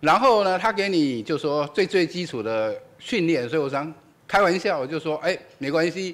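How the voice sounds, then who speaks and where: A man talks with lively intonation at a high pitch. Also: moderate pace. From Taiwan. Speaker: physics professor, event moderator; physics professor. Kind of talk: introduction at public lecture; lecture. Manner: hesitant, many fillers. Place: hall. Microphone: podium.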